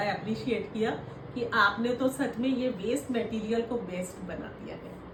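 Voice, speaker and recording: A woman's fairly high-pitched voice amid noticeable background noise and audible room echo. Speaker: retired woman learning painting. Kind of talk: casual chat.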